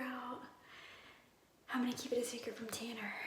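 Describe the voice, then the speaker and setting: Her voice is high-pitched for a woman, heard with noticeable background noise and audible room echo. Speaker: vlogger. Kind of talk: personal vlog. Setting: bathroom. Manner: whispering.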